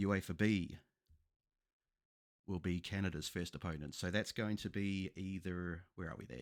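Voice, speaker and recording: In a New Zealand accent, a man with a very deep, low pitch speaks at a moderate pace in a very clean recording with a silent background. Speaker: football YouTuber. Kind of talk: tutorial. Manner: casual.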